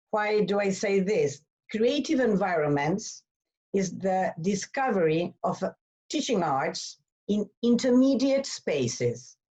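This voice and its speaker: A woman with a Spanish accent speaks at a very slow pace, in a medium pitch that swings very widely. Her voice is somewhat breathy, and her loudness stays very even. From Argentina. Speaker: arts education organization leader. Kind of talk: webinar presentation. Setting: online webinar. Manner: halting.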